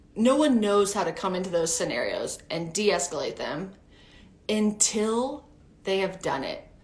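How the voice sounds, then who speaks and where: Animated and lively in intonation, a woman speaks at a fairly slow pace amid audible room echo. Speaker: preschool teacher and teacher coach. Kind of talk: live-streamed talk. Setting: live stream.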